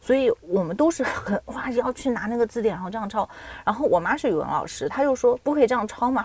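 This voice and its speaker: A woman talks at a very fast pace with a high pitch. Noticeable background noise runs behind her. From China, Nanjing. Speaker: PhD student and freelance writer. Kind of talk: casual chat.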